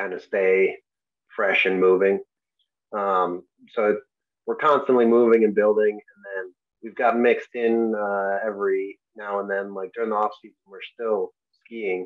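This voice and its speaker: A man with an American accent speaks in a flat monotone at a fairly slow pace, with long, frequent pauses and big swings in loudness. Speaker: Paralympic alpine skier. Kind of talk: interview answer. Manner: soft-spoken.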